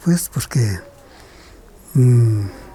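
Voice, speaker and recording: Very slow and somewhat breathy, a dark, mellow voice with a Guatemalan accent comes through with a dry, close sound and no echo. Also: man. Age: 70s. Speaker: kite maker. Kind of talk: interview.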